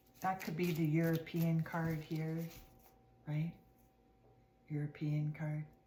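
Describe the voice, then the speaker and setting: A woman speaks very slowly at a very deep, low pitch, her voice somewhat breathy. Her intonation is monotone and flat, with long, frequent pauses. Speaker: tarot card reader. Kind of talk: casual tarot reading to camera. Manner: hesitant with fillers; partly whispering.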